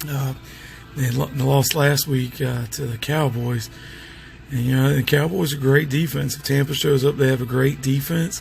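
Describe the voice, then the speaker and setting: Noticeable background noise sits behind a man speaking at a moderate pace. His medium pitch carries fairly even intonation. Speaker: sports picks commentator. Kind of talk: casual talk to camera. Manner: hesitant, filler-heavy.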